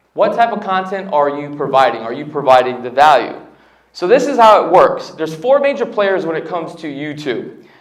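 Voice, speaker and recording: Amid audible room echo, a man speaks fairly quickly at a high pitch, with very wide pitch swings and big swings in loudness. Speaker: real estate agent and YouTuber. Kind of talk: seminar talk.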